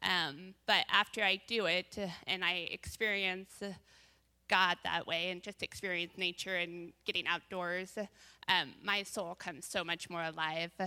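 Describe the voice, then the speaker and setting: A woman with an American accent has a bright, sharp tone and a fairly low pitch. She talks at a fairly slow pace with monotone, flat intonation on a very clean recording with a silent background. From US Northwest, Bend, Oregon. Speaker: church women's panelist. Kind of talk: testimony.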